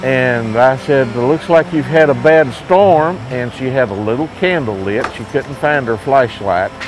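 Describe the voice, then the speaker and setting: With an Appalachian accent, a man at medium pitch talks at a fairly slow pace with hardly any pauses and lively intonation while music plays in the background. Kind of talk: interview answer.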